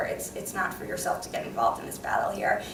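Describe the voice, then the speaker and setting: A woman with an American accent is heard through audible room echo and noticeable background noise. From New York. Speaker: election monitoring lawyer. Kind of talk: conference panel talk. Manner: fast.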